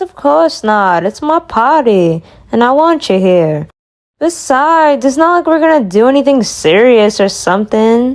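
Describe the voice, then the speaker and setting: In a put-on character voice, a female-sounding speaker goes at a moderate pace with a high pitch. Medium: fan dub. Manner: playful, teasing.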